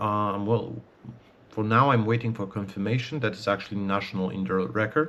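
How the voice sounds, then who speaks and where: In a very clean recording with a silent background, a man with a Polish accent speaks at a fairly low pitch and moderate pace. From Poland. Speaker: archer and video creator. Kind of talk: casual vlog talk. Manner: halting, many fillers.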